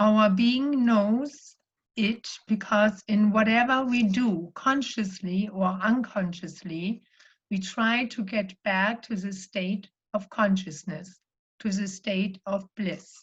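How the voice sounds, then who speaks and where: A woman's somewhat breathy, medium-pitched voice with a German accent, very slow pace and ordinary pitch variation. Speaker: spiritual life coach and yoga teacher. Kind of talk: sermon-style talk.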